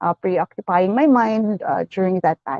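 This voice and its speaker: The speaker has a Western Visayas accent. Their intonation is lively. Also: woman. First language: Hiligaynon. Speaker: author. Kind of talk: casual interview in Taglish. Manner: halting, many fillers and repetitions.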